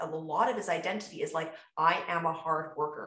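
The voice carries an audible room echo. It moves at a moderate pace. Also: woman. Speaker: podcast host and fitness coach. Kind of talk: casual chat. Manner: animated.

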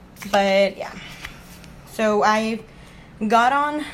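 A bubbly woman's voice at a medium pitch, with ordinary pitch variation and noticeable background noise. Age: 20s. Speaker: podcast host. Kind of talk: casual solo chat. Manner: bubbly, talkative; casual, chatty.

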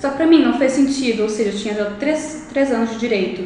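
A woman with a fairly high pitch speaks at a fairly quick pace, with audible room echo and noticeable background noise. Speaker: law student and youtuber. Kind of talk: podcast interview.

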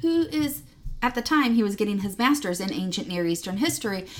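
A woman's somewhat breathy voice, fairly high in pitch, moves in very wide pitch swings. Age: 40s. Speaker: Lutheran church youth ministry director and podcast co-host. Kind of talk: casual chat. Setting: in the same room as co-host.

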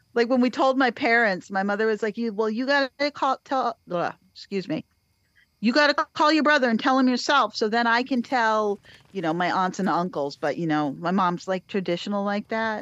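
A woman with an American accent talks fairly quickly in an ordinary speaking voice. Her pitch sits fairly high and her intonation is lively. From Cape Cod, Massachusetts. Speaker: podcast host. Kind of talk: casual chat.

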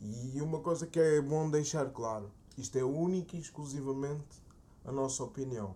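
In a European Portuguese accent, a man speaks at a moderate pace with a fairly high pitch, a dark, mellow tone and ordinary pitch variation. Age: 20s. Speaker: podcast co-host. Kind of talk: casual chat.

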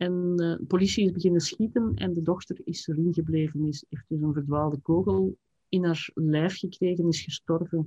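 Somewhat breathy, the voice keeps a moderate pace and a fairly even intonation. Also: woman, fairly low pitch for a woman. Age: 50s. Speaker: writer and writing teacher. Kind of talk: interview conversation. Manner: hesitant, with frequent repetitions.

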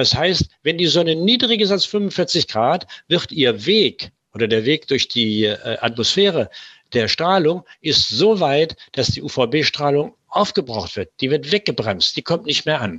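A man with a fairly high pitch and vocal fry speaks very slowly, his pitch swinging very widely, in a dry, close sound with no echo. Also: quiet background. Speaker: preventive medicine physician. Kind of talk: interview. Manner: hesitant fillers.

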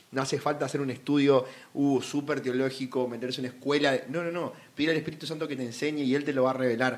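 A man's fairly high voice, very fast and monotone, flat in intonation. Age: 20s. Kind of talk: casual Bible discussion.

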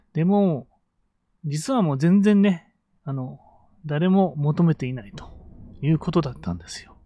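A fairly high-voiced man speaks at a moderate pace with lively intonation and big swings in loudness. He leaves long, frequent pauses. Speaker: business coach and podcaster. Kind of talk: solo podcast monologue. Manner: many fillers and hesitations.

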